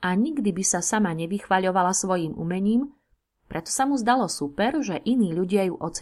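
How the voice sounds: A natural reading voice with lively intonation against a quiet background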